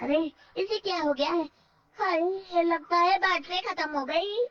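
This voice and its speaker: Pitched extremely high, this woman's cartoonish character voice squeaks out each line. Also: moderate pace. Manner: gloating, mischievous.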